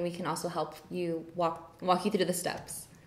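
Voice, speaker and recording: Audible room echo around a woman's moderately paced speech. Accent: American. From Southern California, Inglewood; Southern California. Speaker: university student orientation leader; panelist. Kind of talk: live Q&A panel. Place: classroom.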